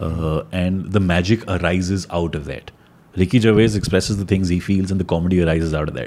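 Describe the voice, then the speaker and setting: Man with an Indian accent, very deep, low pitch, dark, mellow tone and fairly even intonation. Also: fairly quick pace. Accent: Indian English, Hindi-English code-switching. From India, Delhi. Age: 30s. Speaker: magician. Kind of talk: casual chat.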